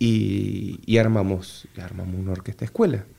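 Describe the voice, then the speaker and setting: A man talks at a fairly slow pace. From Argentina, Entre Ríos (litoral). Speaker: bandoneon player and orchestra director. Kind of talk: casual interview. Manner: halting with repetitions.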